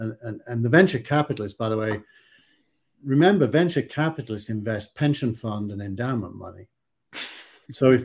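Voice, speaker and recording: In a Yorkshire accent, a man with a medium pitch speaks at a moderate pace, somewhat breathy and with lively intonation. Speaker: tech investor and podcast co-host. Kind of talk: casual discussion. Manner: halting, repeats words.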